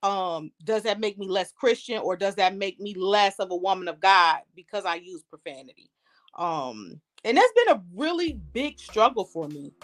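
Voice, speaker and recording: Her American accent clear, a woman speaks at a moderate pace and medium pitch with lively intonation and big swings in loudness. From US Midwest, Detroit, Michigan. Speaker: comedian. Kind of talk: casual chat.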